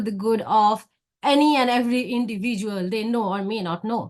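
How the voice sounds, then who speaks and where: A woman with a Bengali accent speaks at a fairly high pitch. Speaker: academic researcher. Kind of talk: conference presentation.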